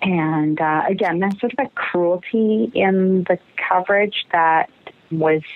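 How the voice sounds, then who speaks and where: Noticeable background noise behind a woman, her pitch varying in an ordinary way. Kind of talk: interview recollection.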